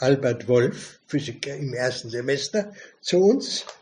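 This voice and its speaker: Very slow delivery with lively intonation. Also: man. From Germany, Lower Franconia. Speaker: retired bookshop owner. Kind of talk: casual interview.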